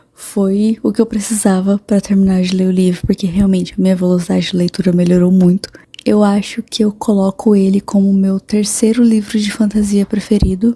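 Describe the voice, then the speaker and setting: Hardly pausing at all, the speaker keeps to a moderate pace. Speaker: book vlogger. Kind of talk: casual vlog.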